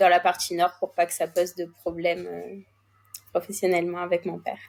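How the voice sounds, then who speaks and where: Speaking at a fairly quick pace, a woman shows big swings in loudness. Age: 20s. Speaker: racehorse co-owner. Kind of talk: interview.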